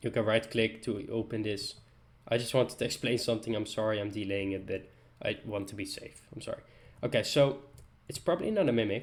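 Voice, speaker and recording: A man speaks in a Dutch accent at a medium pitch. His pace is fairly quick, with ordinary pitch variation. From Netherlands. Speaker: gaming YouTuber. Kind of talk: tutorial.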